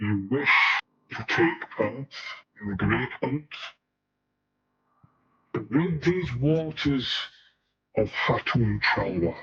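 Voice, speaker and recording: Using a put-on character voice, a man speaks at a medium pitch and a very slow pace. Long, frequent pauses break up his delivery. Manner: spooky, eerie.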